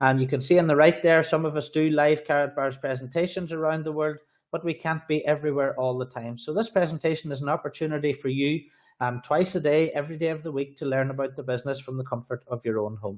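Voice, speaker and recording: A man talks at a very fast pace in an Irish accent. His voice is fairly high, with fairly even intonation. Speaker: sales trainer and business presenter. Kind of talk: sales pitch.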